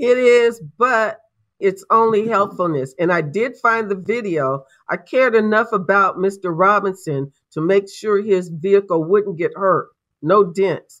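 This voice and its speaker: A woman with an ordinary speaking voice, medium pitch, ordinary pitch variation and a fairly slow pace, against a quiet background. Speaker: homeowners association representative. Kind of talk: courtroom testimony.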